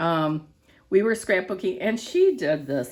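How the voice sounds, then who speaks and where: The woman's voice sits at a medium pitch and carries vocal fry. Her pitch swings very widely. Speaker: crafting video host. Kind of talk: tutorial. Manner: casual, talking to herself.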